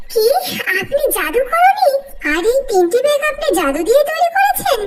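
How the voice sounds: Over loud background noise, a woman uses a squeaky, cartoonish character voice at an extremely high pitch. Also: moderate pace.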